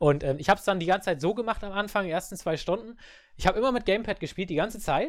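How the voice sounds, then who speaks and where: The pace of this man's speech is very fast. The recording is very clean and the background silent. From Germany. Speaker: podcast host. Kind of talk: casual chat.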